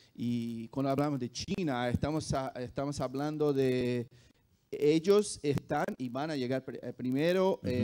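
A fairly slow delivery with a Brazilian accent against a quiet background. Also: man. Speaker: esports company executive; panelist. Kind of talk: panel discussion. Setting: stage with audience. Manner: halting. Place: hall. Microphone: handheld.

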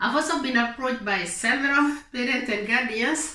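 A woman's raised, projected voice carries a bright, sharp tone and ordinary pitch variation, with audible room echo over an otherwise quiet background. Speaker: advice vlogger. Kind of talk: explanatory vlog talk. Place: home room.

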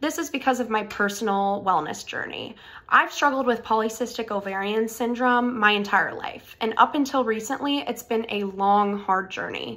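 A woman's bright, sharp voice with an American accent, fairly high in pitch, with ordinary pitch variation, a moderate pace and hardly any pauses. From Florida, US. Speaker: medical school applicant. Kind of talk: scripted personal statement video. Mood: earnest, warm. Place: home room. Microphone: phone near.

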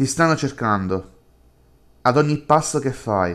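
A man speaks at a very slow pace in a menacing tone, in a very clean recording with a silent background. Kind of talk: horror audio drama reading, dramatic narration of a creepy inner dialogue. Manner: shifts between two voices, a tormented self and a menacing alter ego.

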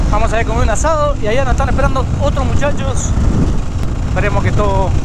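With a dry sound and no echo, a male speaker keeps a moderate pace despite loud background noise. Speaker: enduro rider vlogger. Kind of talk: casual vlog chat. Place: motorbike. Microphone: helmet.

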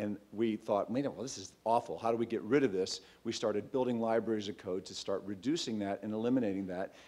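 The voice has a dark, mellow tone with ordinary pitch variation. The pace is fairly quick. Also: man. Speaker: startup founder. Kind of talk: pitch presentation. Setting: stage with audience. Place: hall. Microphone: podium.

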